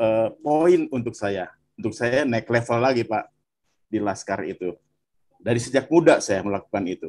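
Pitched at a medium level, a man uses a normal speaking voice with ordinary pitch variation. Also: moderate pace. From West Java, Bandung. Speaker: viewer sharing testimony. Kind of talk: testimony. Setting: video call.

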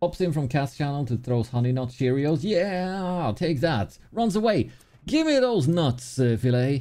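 A man's fairly high voice with a Swedish accent, dark, mellow tone, lively intonation, very even loudness and a fairly slow pace. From Sweden. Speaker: gaming streamer. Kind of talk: live gameplay commentary. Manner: animated. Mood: playful, lightly frantic. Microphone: studio mic.

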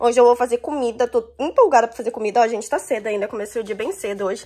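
Quiet background behind a woman whose pitch varies in an ordinary way. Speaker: home vlogger. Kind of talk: casual vlog chat. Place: home room. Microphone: phone near.

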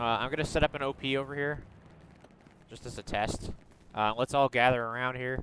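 With big swings in loudness and long, frequent pauses, a man speaks at a fairly quick pace, the sound dry with no echo and light background noise behind him. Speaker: gamer leading a squad. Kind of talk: casual gaming chat. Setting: online voice chat. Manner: animated. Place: home room.

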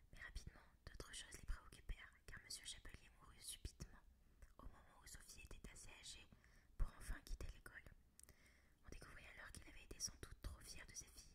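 A woman whispers at a fairly quick pace, broken by long, frequent pauses. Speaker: ASMR reader. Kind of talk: whispered book reading for ASMR. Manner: whispered, soft. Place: home room. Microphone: studio mic.

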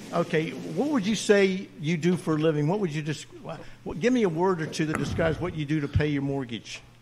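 A man's fairly high voice with ordinary pitch variation, amid noticeable background noise. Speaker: dentist and Air Force veteran. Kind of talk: casual chat. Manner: animated storyteller.

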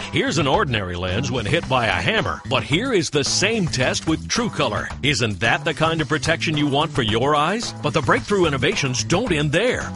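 With music in the background, a man talks at a moderate pace and fairly high pitch, using very wide pitch swings, very even loudness and hardly any pauses. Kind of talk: TV commercial read. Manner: upbeat.

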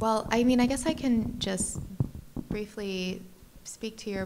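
The speaker is a woman with an American accent. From Detroit, Michigan. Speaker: curator. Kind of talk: panel talk. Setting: gallery panel with live audience. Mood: thoughtful, calm. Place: hall. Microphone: handheld.

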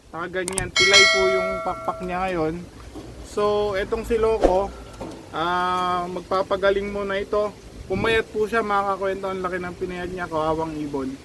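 A man speaks in a raised, projected voice at a high pitch. His pace is moderate, and there is noticeable background noise. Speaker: pigeon racing vlogger. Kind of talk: casual vlog narration. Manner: excited, halting.

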